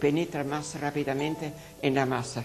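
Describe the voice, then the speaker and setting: A woman's very deep, low voice over light background noise. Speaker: nun cooking show host. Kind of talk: tutorial. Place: kitchen.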